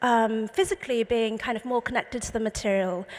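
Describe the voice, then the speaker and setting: A woman is talking. Her accent is English. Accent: very English. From England (London). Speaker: artist, painter. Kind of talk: panel talk presenting slides. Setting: panel talk with live audience.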